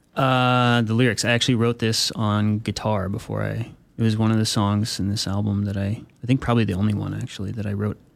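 Over noticeable background noise, a man talks at a fairly quick pace, his pitch fairly low and intonation fairly even. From military family, moved around; Flagstaff, Arizona. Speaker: electronic musician. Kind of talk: radio interview.

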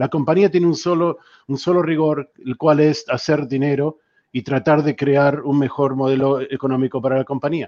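A man speaks in a normal speaking voice with fairly high pitch. His pace is moderate. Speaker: customer experience strategist. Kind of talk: panel discussion.

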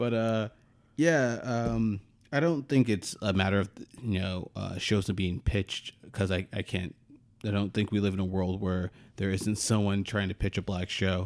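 A man with a normal speaking voice talks at a fairly low pitch and a moderate pace. His pitch varies in an ordinary way on a very clean recording with a silent background. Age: 30s. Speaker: podcast co-host. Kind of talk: casual chat.

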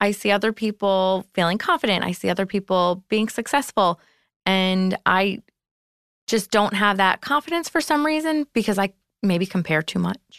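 In an American accent, a woman with an unremarkable speaking voice talks at a moderate pace and medium pitch, her intonation lively and her loudness very even, in a dry, close sound with no echo and a quiet background. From New York. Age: 30s. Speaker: event planner. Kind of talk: personal story interview.

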